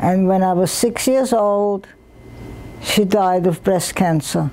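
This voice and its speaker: A woman speaks at a very slow pace with very even loudness and ordinary pitch variation over light background noise. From Vienna, Austria. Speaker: Holocaust survivor. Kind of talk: interview answer. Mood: earnest, reflective. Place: home room. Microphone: lapel.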